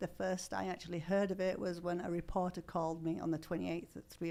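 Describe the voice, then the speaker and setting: In an English accent, a woman talks very fast at a fairly low pitch, with vocal fry and monotone, flat intonation. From northern England, Yorkshire. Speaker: horse carriage business owner. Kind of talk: interview. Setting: studio.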